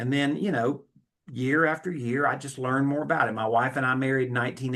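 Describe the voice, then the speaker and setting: A man speaks at a fairly quick pace in a medium pitch with ordinary pitch variation. He has a normal speaking voice. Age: 60s. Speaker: note investor and educator. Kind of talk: podcast interview. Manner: frequent false starts and repetitions.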